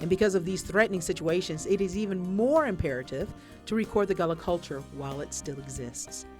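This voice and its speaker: A woman speaks at a fairly quick pace in a fairly low pitch, with music in the background. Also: lively intonation. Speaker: professor. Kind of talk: documentary narration.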